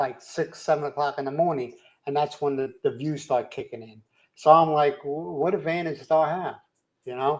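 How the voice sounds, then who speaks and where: A man with a Philadelphia accent talks at a moderate pace, his loudness swinging widely. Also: fairly high pitch for a man, ordinary pitch variation. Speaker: live stream host. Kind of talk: casual chat. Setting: live stream. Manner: uses lots of slang.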